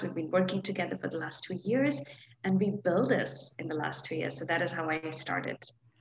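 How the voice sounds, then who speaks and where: A woman speaks with a fairly low pitch and ordinary pitch variation. Noticeable background noise runs behind her. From India. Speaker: founder of a sustainable tableware brand. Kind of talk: interview.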